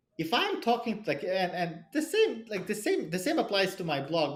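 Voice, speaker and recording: A man talks at a fairly quick pace with very wide swings in pitch. Noticeable background noise runs underneath. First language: not English; English is his third language. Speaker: cybersecurity product leader and angel investor. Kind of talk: podcast interview. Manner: halting, many repetitions and fillers.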